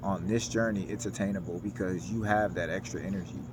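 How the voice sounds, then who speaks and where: A man's fairly low voice with ordinary pitch variation and audible room echo. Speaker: self-help vlogger. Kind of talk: personal vlog monologue. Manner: casual, informal with filler words.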